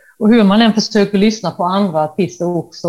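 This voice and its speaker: The tone here is dark and mellow. It belongs to a woman speaking at a moderate pace. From Halmstad, Sweden. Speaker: painter inspired by Dylan. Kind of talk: casual interview chat.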